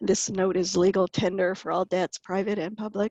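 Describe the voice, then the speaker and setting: This woman has a plain, everyday voice at a medium pitch and a moderate pace. The recording is dry and close with no echo, and the background is quiet. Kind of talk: artist talk presenting slides. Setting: video call.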